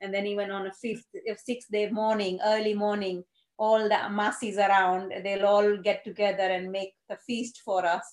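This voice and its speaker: This woman speaks in a Gujarati accent. Her intonation stays monotone and flat. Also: medium pitch for a woman, moderate pace. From India (Gujarat). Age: 50s. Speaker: GP surgery administrator. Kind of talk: casual interview.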